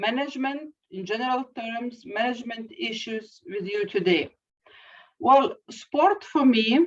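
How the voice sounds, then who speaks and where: A woman with a high voice talks at a very slow pace. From Lithuania, Kaunas. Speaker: university professor. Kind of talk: lecture. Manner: halting, many fillers.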